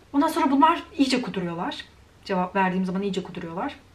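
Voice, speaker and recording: Amid noticeable background noise, a woman speaks in an animated tone with very wide pitch swings. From Turkey. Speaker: YouTuber. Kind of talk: vlog rant.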